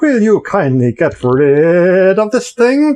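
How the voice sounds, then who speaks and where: This put-on character voice sits at a middle pitch, moving at a fairly slow pace with very wide pitch swings. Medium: read story. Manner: shouting, jeering.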